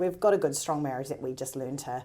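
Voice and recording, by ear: The voice has a dark, mellow tone and moves at a fairly quick pace. Its pitch varies in an ordinary way. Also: woman.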